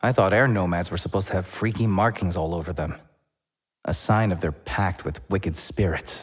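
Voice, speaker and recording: A man uses a put-on character voice that is raspy and very deep and low. He delivers it at a moderate pace. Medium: dub.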